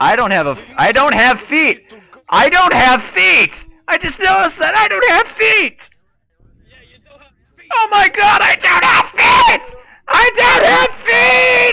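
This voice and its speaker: A man shouts at a fairly slow pace. His pitch is extremely high and swings very widely. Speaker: gaming YouTuber. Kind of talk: gameplay commentary, horror game reactions. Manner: animated, excitable, joking.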